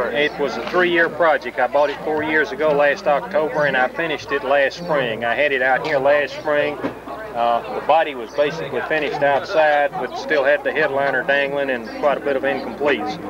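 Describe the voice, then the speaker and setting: The speech moves at a fairly quick pace with hardly any pauses, in a dry sound with no echo amid noticeable background noise. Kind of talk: interview answer. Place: street. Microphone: old recording.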